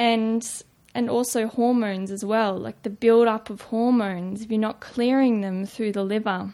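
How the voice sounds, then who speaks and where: A woman speaks with an Australian accent at a fairly high pitch. Her intonation is monotone and flat, and her pace is moderate. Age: 20s. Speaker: nutrition student. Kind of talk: casual interview.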